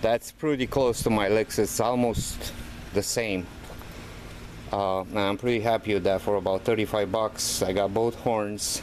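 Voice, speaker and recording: Over noticeable background noise, a man with a fairly low pitch speaks at a moderate pace, with fairly even intonation and very even loudness. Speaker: DIY car hobbyist. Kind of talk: tutorial. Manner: casual, hesitant with many fillers.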